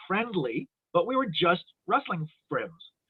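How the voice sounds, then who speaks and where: A man speaks with a Canadian accent. His intonation is lively. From Ontario, Toronto. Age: 60s. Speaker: wrestling referee. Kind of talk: casual chat.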